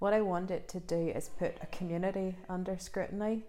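With a Northern Irish accent, a woman speaks at a medium pitch. Her tone is dark and mellow. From Northern Ireland, rural village. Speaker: novelist. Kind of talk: interview. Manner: hesitant, many fillers.

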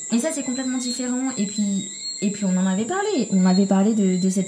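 A woman speaks with ordinary pitch variation. There is audible room echo and noticeable background noise. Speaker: podcast co-host. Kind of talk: casual chat.

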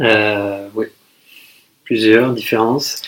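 A man's voice at medium pitch. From France, Toulouse. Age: 30s. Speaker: expatriate. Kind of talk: casual interview. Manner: hesitant, many fillers.

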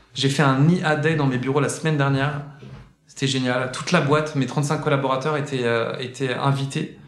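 A fairly high-pitched man's voice at a moderate pace, flat and monotone, with noticeable background noise and audible room echo. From France, Saint-Étienne. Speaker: singer and content entrepreneur. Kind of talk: casual interview. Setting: indoor room at his workplace.

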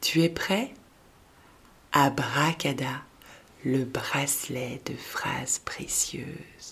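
Whispering in a calm, gentle tone, the speaker goes at a very slow pace. Long, frequent pauses break up the speech. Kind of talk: guided meditation for children, repeating a mantra. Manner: slow, calm, gentle, with long pauses between repeated phrases; soft-spoken and warm, encouraging, addressing a child as 'tu'.

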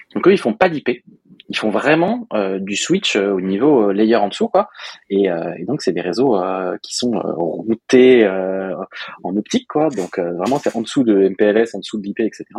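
Very slowly and in a fairly low pitch, a man talks with lively intonation in a dry, close sound with no echo. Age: 30s. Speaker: software developer, podcast co-host. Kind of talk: casual chat.

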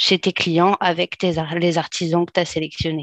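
This woman's voice sits at a medium pitch. The sound is dry and close with no echo, against a quiet background. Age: 30s. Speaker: aspiring interior decorator. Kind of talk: casual chat. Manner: halting.

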